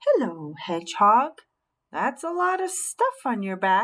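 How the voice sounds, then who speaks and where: Putting on a croaky character voice, a woman speaks at a fairly high pitch. Her pace is fairly slow. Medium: read story.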